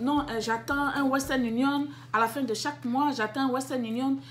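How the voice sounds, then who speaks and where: A woman speaks at a moderate pace in a high voice with ordinary pitch variation. Music plays in the background. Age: 40s. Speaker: business YouTuber. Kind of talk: casual advice vlog. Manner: halting with fillers.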